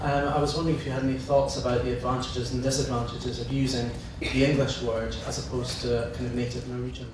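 The speech comes at a very fast pace. Strong room echo and noticeable background noise surround it. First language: Norwegian. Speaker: translator, audience member. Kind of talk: audience question at a public lecture. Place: hall.

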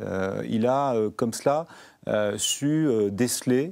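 A man speaks in a dark, mellow tone with ordinary pitch variation against a quiet background. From Normandy, France (Canteleu); Normandy, France. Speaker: member of parliament; guest. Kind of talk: TV interview. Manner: hesitant, many filler sounds. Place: studio. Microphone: lapel.

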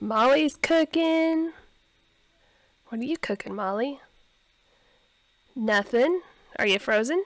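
Speaking at a slow pace with long, frequent pauses, a woman uses lively intonation and a high pitch.

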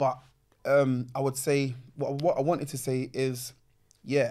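In a South London accent, a man speaks with a dark, mellow tone. His intonation is monotone and flat, over a quiet background. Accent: South London, Multicultural London English. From London, Peckham. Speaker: MC, grime pioneer; MC. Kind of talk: casual chat. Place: studio. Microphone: studio mic.

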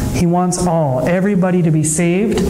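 Over noticeable background noise, a man talks in a high voice with fairly even intonation. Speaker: preacher. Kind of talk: sermon. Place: hall. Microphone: camera far.

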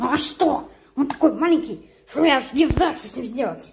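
Pitched high, a cartoonish character voice talks at a moderate pace. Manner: mocking, irritated, bossy.

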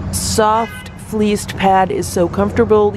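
The woman's voice has a dry sound with no echo, and noticeable background noise is heard behind it. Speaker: pet owner reviewing product. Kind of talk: casual product review narration. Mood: upbeat, pleased. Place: street. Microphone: phone near.

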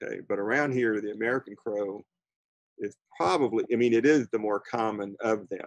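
Here a man speaks at a moderate pace with ordinary pitch variation. The sound is dry with no echo and the background is quiet. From Florida. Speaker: birding instructor. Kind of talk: lecture. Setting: video call. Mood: warm, chatty. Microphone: video call.

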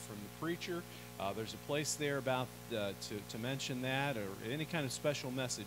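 A man talks at a fairly quick pace with ordinary pitch variation. Noticeable background noise runs beneath him. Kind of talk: church announcements. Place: church.

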